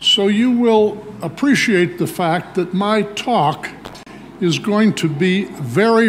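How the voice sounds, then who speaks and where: Amid noticeable background noise and audible room echo, a man talks very slowly with lively intonation. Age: 80s+. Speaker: nephrology professor. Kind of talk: lecture. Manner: authoritative.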